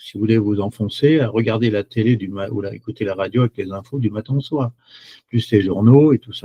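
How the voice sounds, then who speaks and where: A man talks at a fairly quick pace, his voice somewhat breathy. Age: 70s. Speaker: chocolate product seller. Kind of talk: webinar presentation. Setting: online webinar. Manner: hesitant, many fillers.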